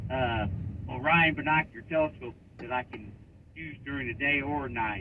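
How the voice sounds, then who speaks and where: The loudness swings widely while the pitch varies in an ordinary way at a moderate pace. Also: man, medium pitch for a man. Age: 60s. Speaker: radio caller. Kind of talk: radio call-in question. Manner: halting, many fillers.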